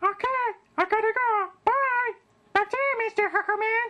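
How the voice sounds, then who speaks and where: This cartoonish character voice sits at an extremely high pitch. It moves at a moderate pace. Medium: puppet.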